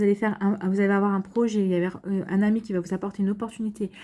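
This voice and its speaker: Speaking at a very fast pace, a woman with a medium pitch and a dark, mellow tone comes through on a very clean recording with a silent background. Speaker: astrology tarot reader. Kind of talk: astrology reading. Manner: halting, many fillers.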